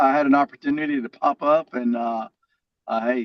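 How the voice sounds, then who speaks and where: Moderate pace, ordinary pitch variation, and a Southern US accent. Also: man. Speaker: comedian and keynote speaker. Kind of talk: casual interview. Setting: phone call. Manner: stutter. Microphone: on his phone.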